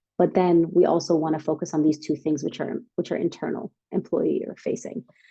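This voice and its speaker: At a moderate speed, a woman talks in a fairly low voice. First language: not English. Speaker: startup workshop speaker. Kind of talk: workshop presentation. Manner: casual, filler-heavy.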